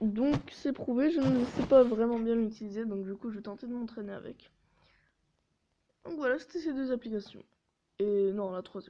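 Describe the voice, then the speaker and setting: A woman with a fairly high pitch and a dark, mellow tone speaks at a moderate pace with ordinary pitch variation. Her loudness swings widely, and she takes long, frequent pauses. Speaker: mobile gaming YouTuber. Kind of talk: casual gameplay commentary. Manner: hesitant, many filler sounds.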